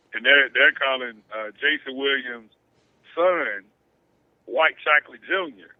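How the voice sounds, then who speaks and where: In an ordinary speaking voice, a man talks fairly slowly at a medium pitch with ordinary pitch variation. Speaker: sports radio host. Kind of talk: casual chat.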